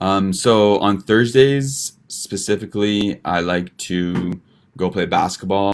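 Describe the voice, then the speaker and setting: A man with a Western Canadian accent, very deep and low in pitch, with ordinary pitch variation. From Vancouver, Canada. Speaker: medical student. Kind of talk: informal student presentation. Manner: casual, hesitant.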